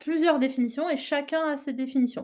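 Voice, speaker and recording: A woman's high-pitched voice at a moderate pace against a quiet background. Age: 30s. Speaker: animal mediation trainer. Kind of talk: online workshop presentation. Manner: hesitant, many fillers.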